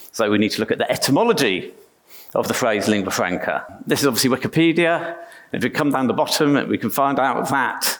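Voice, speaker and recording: Speaking at a moderate pace in an English accent, the voice has lively intonation. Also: man. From England. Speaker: software engineer, conference speaker. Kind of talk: conference talk. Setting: stage with audience. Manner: casual, self-deprecating with fillers.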